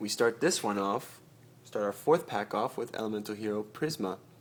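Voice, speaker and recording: A man talks with very wide pitch swings. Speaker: card collecting youtuber. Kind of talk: unboxing commentary. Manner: halting, stuttering; casual, hesitant.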